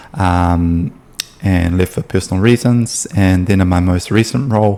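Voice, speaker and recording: Very deep and low, a man's dark, mellow voice comes with a New Zealand accent. He speaks at a fairly slow pace with ordinary pitch variation. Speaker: sales appointment setter. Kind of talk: casual explainer video. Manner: hesitant, many fillers.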